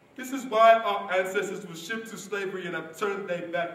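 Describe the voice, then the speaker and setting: A man speaks at a high pitch and a moderate pace, with audible room echo. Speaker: stage actor. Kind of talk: dramatic theatre monologue. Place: stage. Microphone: camera far.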